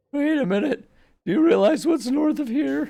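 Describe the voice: A man puts on a character voice with extremely high pitch. He keeps a moderate pace.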